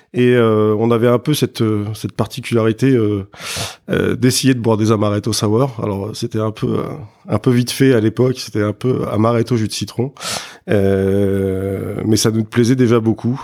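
Fairly slow pace from a man, medium pitch, fairly even intonation. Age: 40s. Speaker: spirits brand co-founder. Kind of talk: interview. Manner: halting, many fillers and repetitions.

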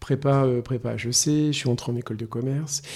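Words come fairly slowly, their intonation fairly even. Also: man. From France, Poitou region. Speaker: perfume house founder. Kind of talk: interview. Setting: office. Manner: halting.

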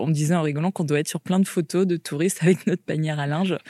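At a very fast pace, a woman speaks with a very deep, low pitch, ordinary pitch variation and a dark, mellow tone on a very clean recording with a silent background. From Brittany, France. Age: 30s. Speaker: lighthouse keeper's daughter. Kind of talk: interview testimony.

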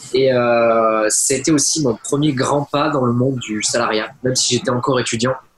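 A man at a medium pitch, fairly slow pace and fairly even intonation, amid noticeable background noise. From southwest France. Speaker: online marketing entrepreneur. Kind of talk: interview. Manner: hesitant, many fillers.

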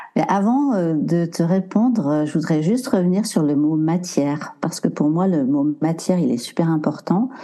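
This woman has an ordinary speaking voice, fairly low in pitch, and talks at a fairly slow pace with lively intonation, very even loudness and hardly any pauses. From French Alps. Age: 60s. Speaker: body movement coach, former dancer. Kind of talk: casual interview.

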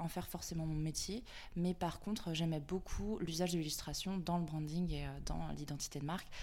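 With audible room echo, a woman speaks at a fairly low pitch and a moderate pace, her intonation fairly even. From Brittany, France (Vannes). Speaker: freelance art director. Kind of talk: interview.

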